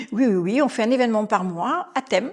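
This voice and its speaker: Ordinary pitch variation and a moderate pace from a woman, in a very clean recording with a silent background. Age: 60s. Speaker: restaurant manager. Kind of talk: podcast interview. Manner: animated.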